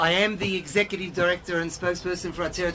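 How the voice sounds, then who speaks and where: A high-pitched man at a very fast pace, over noticeable background noise. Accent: Australian. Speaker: organization executive and spokesperson. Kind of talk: guided tour talk.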